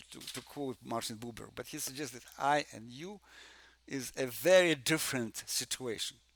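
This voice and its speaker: A man's medium-pitched voice with a Russian accent, ordinary pitch variation, big swings in loudness and a moderate pace. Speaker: music theory professor. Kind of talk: conference presentation. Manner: halting, many fillers and repetitions.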